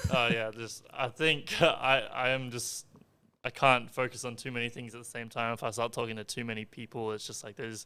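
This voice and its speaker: In an Australian accent, a man speaks with a bright, sharp tone, monotone, flat intonation and big swings in loudness. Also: medium pitch for a man, moderate pace. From Australia, Darwin (Northern Territory). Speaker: esports gamer. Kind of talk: podcast interview. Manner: quiet, halting.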